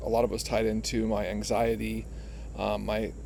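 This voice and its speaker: With an American accent, a man talks over audible room echo. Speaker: vlogger on living with bipolar disorder. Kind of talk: personal vlog monologue. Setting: outdoors. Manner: halting, many fillers and repetitions.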